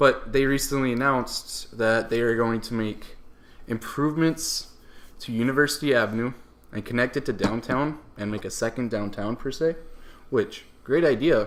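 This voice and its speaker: Medium in pitch with ordinary pitch variation, a man talks at a moderate pace on a very clean recording with a silent background. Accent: strong northern US. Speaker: podcast co-host. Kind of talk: casual chat.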